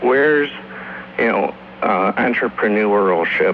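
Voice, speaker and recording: Over noticeable background noise, a man speaks at a fairly slow pace. His pitch swings very widely. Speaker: radio call-in listener. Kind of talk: casual talk-radio call. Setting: phone line. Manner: stammering.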